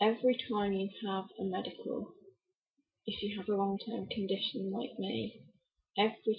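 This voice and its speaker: Her pitch is medium and her pace fairly slow as this woman talks. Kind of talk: casual talk to camera. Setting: laptop microphone, poor sound.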